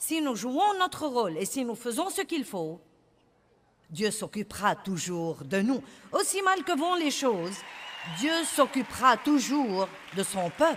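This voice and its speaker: Crowd noise sits in the background as the speaker talks at a very slow pace, with long, frequent pauses and very wide pitch swings. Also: woman, high pitch for a woman. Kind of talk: sermon / preaching to an audience.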